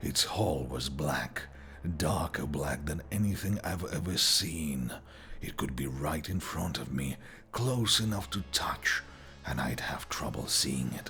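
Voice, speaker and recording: Over clear background noise, a man uses a put-on character voice, very deep and low in pitch, at a fairly slow pace. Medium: read story.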